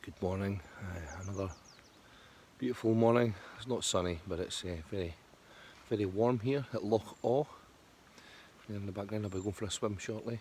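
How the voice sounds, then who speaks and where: Soft-spoken and with a Scottish accent, a man talks at a moderate pace and a fairly low pitch, with ordinary pitch variation and long, frequent pauses. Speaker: motorcycle touring vlogger. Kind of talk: casual vlog. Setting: outdoors.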